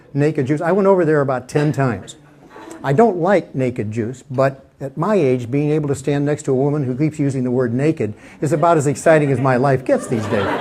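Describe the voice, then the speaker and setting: Talking fairly quickly with an American accent, a man uses a fairly high pitch and ordinary pitch variation over noticeable background noise. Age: 70s. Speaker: stand-up comedian. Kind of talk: stand-up. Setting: stage with audience. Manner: halting.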